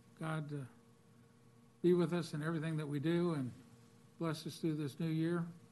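Speaking at a moderate pace with long, frequent pauses, a man with an American accent uses a monotone, flat intonation and a fairly high pitch. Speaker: board chairman. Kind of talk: chairing public meeting. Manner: formal.

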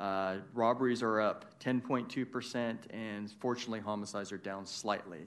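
A man talks in an unremarkable speaking voice, pitched fairly low. His intonation stays fairly even. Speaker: police official. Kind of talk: presentation. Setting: city council chambers.

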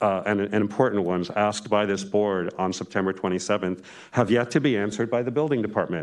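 Over a quiet background, a man uses a normal speaking voice, fairly low in pitch. He talks at a fairly quick pace with ordinary pitch variation. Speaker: member of the public giving comment. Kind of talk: public comment testimony. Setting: hearing room at a microphone.

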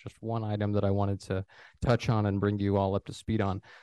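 A man with a fairly low pitch and a dark, mellow tone, dry and close with no echo, against a quiet background. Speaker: city planning director. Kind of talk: formal public meeting procedure. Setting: council chambers. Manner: formal.

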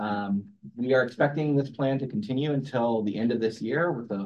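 This is an ordinary speaking voice. Its pitch variation is ordinary. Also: man. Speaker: transportation agency planning director. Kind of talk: staff presentation at public meeting. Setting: hybrid public meeting room.

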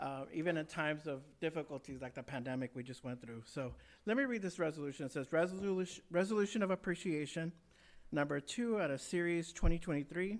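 In a normal speaking voice, a man with a fairly high pitch and lively intonation talks against a quiet background. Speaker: city councilmember. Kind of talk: formal council remarks and reading a proclamation.

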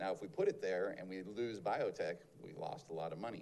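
A man is talking. Music plays in the background. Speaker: mayor chairing city council meeting. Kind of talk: city council meeting.

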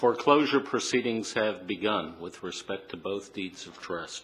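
Here a man talks at a fairly low pitch, in an unremarkable speaking voice. He keeps a moderate pace. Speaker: city attorney. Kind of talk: formal legal presentation at a public meeting.

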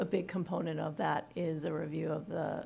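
A woman with a fairly low pitch speaks at a moderate pace. Vocal fry runs through her voice. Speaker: pension fund executive. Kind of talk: board meeting discussion. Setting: public board meeting.

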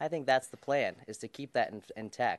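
A normal speaking voice with an American accent moves at a fairly quick pace and ordinary pitch variation. The sound is dry and close with no echo, over a quiet background. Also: man. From Colorado. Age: 20s. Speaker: political candidate. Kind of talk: candidate debate. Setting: stage with audience.

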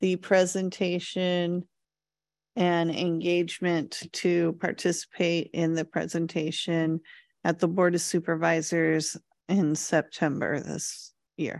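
Against a quiet background, a woman speaks at a fairly slow pace in a normal speaking voice with a fairly low pitch. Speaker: committee secretary. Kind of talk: meeting announcements. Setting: city hall meeting room. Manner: formal.

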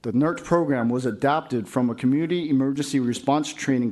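A man's normal speaking voice at a medium pitch with ordinary pitch variation. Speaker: fire captain, volunteer program coordinator. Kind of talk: presentation. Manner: formal.

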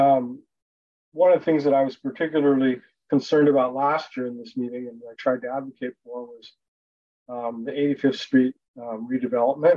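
A man with an ordinary speaking voice and medium pitch talks at a fairly quick pace, with big swings in loudness. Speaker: park board member. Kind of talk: public meeting discussion. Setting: video call.

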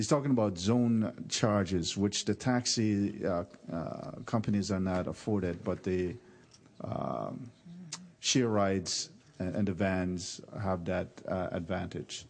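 Against a quiet background, the speaker talks at a very slow pace. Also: man, very deep, low pitch for a man, ordinary pitch variation. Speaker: county commissioner. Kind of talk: policy remarks at public meeting.

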